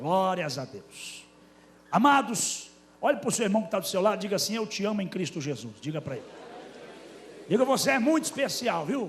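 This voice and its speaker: A man's high voice with very wide pitch swings, long and frequent pauses, and audible room echo. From Brazilian Northeast, Paraíba (Campina Grande). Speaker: pastor. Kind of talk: sermon. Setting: church.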